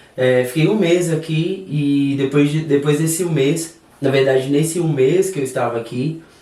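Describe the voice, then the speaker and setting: Audible room echo surrounds the recording. A man talks in a fairly high pitch with fairly even intonation. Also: moderate pace. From Brazil, southern Minas Gerais. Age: 30s. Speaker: hairdresser and salon owner. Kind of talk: podcast interview.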